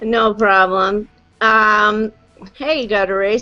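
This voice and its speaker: A woman speaks at a very slow pace. Noticeable background noise sits behind her. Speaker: live stream host on vaping. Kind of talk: casual live chat. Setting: video call. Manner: loud.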